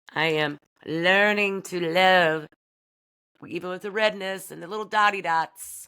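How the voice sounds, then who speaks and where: In a very clean recording with a silent background, a woman with an American accent speaks at a moderate pace, her pitch fairly low with ordinary variation. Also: big swings in loudness. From US Midwest (Bedford, Iowa area). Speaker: podcast host. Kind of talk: casual monologue. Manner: loud; animated.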